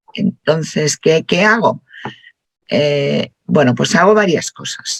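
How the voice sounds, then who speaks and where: Fairly low-pitched woman's voice with lively intonation, a very slow pace, and a dry, close sound with no echo. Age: 60s. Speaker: workshop participant. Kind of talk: group discussion.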